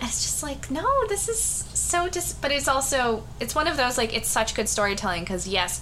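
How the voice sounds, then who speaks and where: A woman keeps a moderate pace while noticeable background noise runs behind her. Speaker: podcast co-host. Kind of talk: casual chat.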